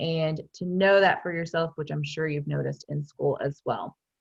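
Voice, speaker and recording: A woman talks in an animated tone. The background is quiet. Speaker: wellness consultant and meditation teacher. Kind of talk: webinar talk. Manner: loud, animated.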